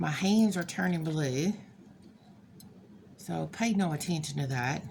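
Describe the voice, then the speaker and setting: Audible room echo around a woman talking at a fairly slow pace. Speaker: crafter. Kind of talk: tutorial. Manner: halting, hesitant; casual.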